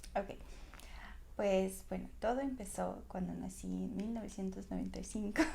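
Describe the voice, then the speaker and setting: A woman at a fairly slow pace, with noticeable background noise and audible room echo. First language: regional language of Russian republic (speaking Spanish). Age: 20s. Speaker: Russian teacher. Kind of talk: podcast interview. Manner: halting.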